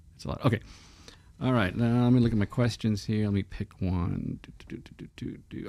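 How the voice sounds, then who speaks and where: With an American accent, a man talks at a fairly quick pace in a plain, everyday voice, his fairly low pitch carrying lively intonation. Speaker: movie podcast co-host, former model shop prop maker. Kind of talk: casual chat.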